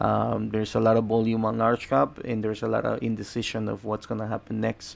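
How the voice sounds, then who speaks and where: A man talks at a fairly quick pace with a Spanish accent. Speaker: day trader and trading educator. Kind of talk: trading commentary to camera. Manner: halting, many repetitions.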